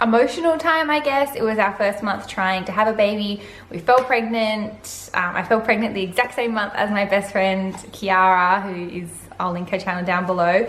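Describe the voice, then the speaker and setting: Over audible room echo, a woman speaks at a moderate pace and a medium pitch, with ordinary pitch variation. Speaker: vlogger. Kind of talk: casual vlog monologue. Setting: home living room. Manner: loud; animated.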